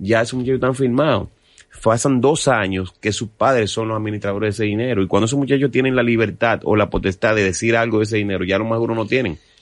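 A man at medium pitch, talking at a very fast pace with fairly even intonation. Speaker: merengue musician. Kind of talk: casual interview.

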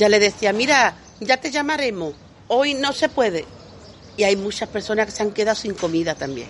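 A woman keeps a moderate pace as noticeable background noise runs beneath her. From Andalusia, Lebrija (Seville province). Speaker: community radio reporter and market vendor. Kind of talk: casual interview. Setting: outdoors at a breakfast in central Seville.

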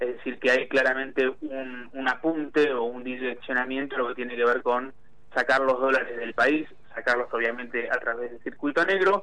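At a moderate pace, a man uses a normal speaking voice with medium pitch and fairly even intonation. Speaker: parliamentary affairs commentator. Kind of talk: political analysis interview.

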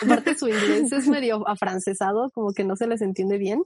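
This woman speaks at a moderate pace. Her voice sounds dry and close, with no echo. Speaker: podcast co-host. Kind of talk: casual chat.

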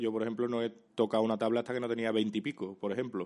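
Here a man speaks at a medium pitch. He talks at a very fast pace. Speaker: comedian and YouTuber. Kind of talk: casual chat.

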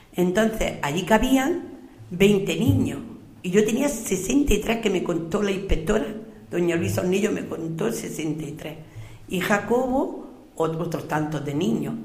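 Amid noticeable background noise and audible room echo, a woman talks very slowly at a medium pitch, her voice making very wide pitch swings. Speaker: retired schoolteacher. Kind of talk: radio interview.

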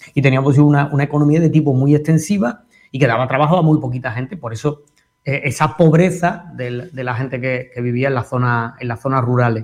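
Somewhat breathy, a man talks at a fairly quick pace in an Andalusian accent. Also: medium pitch for a man, ordinary pitch variation. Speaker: history professor. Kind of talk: educational radio talk.

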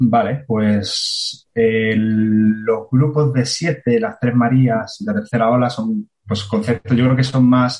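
A man with a medium-pitched, somewhat breathy voice speaks. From Andalusia, Spain (Marbella). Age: 30s. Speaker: coastal engineer and surfer. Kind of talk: explanatory interview.

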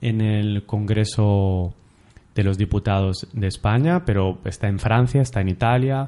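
A man's fairly low, dark, mellow voice at a very slow pace, with ordinary pitch variation. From Catalonia. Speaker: podcast host. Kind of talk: interview.

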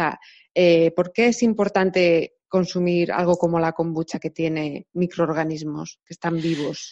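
A woman with a Castilian accent, fairly low in pitch, at a fairly slow pace with fairly even intonation. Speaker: podcast host and translator. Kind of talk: interview.

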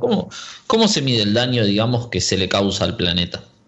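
This man has a medium pitch and ordinary pitch variation. Noticeable background noise runs behind him. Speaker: radio host. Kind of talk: radio interview.

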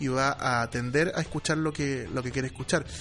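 A man with a Chilean accent at a fairly quick pace, music playing behind him. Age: 30s. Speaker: radio broadcaster. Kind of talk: casual chat.

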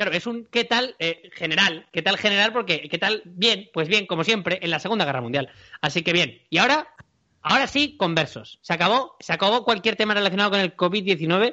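This man talks in a high voice with lively intonation. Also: fairly quick pace. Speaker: podcast host. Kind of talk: casual chat. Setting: recording from home during quarantine.

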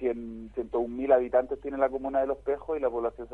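This man talks at a fairly quick pace. His words come along briskly. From Chile. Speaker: tennis foundation director. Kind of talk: radio interview. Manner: halting.

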